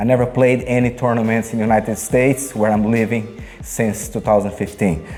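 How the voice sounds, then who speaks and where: A man's voice with fairly even intonation, a fairly quick pace and noticeable background noise. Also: medium pitch for a man. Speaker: table tennis coach. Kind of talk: tutorial. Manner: casual, unedited.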